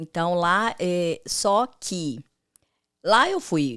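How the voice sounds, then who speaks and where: A woman with a Minas Gerais accent speaks in a fairly low pitch. The recording is very clean, with a silent background. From Brazil, Minas Gerais (Governador Valadares). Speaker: makeup artist. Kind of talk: casual chat.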